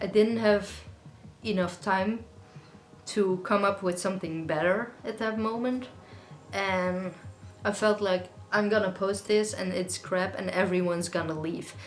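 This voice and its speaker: A woman at a medium pitch, fairly slow with long, frequent pauses, with audible room echo and music in the background. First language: Dutch. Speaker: singer-songwriter YouTuber. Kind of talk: casual Q&A monologue. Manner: conversational, chatty.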